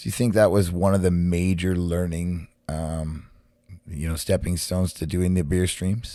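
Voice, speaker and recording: A man speaks at a moderate pace in a very deep, low voice with a dark, mellow tone. The recording is very clean, with a silent background. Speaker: podcast host and musician. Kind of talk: interview. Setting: live-streamed podcast. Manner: energetic.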